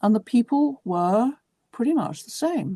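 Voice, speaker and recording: In a southern English accent, a woman speaks at a fairly slow pace in a dark, mellow, somewhat breathy voice whose pitch swings very widely, against a quiet background. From southern England, West Sussex. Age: 60s. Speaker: writer. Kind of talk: interview.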